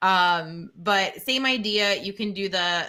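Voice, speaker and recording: Loud and bright with a sharp tone, a woman speaks with ordinary pitch variation on a very clean recording with a silent background. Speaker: teacher and live-stream co-host. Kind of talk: tutorial. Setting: live stream.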